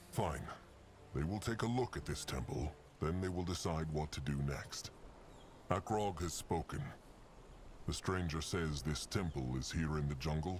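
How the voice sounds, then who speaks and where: In a put-on character voice, a man speaks gruffly at a moderate pace with a very deep, low pitch, and clear background noise can be heard. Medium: video game. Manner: speaks of himself in the third person, gruff and formal.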